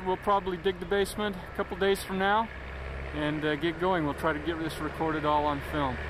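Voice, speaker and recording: The voice moves at a fairly quick pace in a dry sound with no echo, over noticeable background noise. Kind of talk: casual home video narration. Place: open country. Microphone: old recording.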